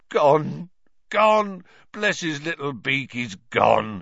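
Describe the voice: In a put-on character voice, a man speaks very slowly with a husky, fairly bright tone, fairly high pitch, big pitch swings and vocal fry.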